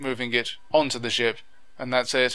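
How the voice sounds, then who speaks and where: A man with a Lancashire accent talks at a medium pitch. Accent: Lancashire, Wigan. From northern England, Wigan. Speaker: YouTube gaming commentator. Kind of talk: video commentary. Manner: enunciates clearly; animated.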